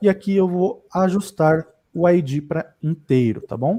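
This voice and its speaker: A man speaks in a dark, mellow tone. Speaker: data engineering instructor. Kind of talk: live tutorial. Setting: livestream.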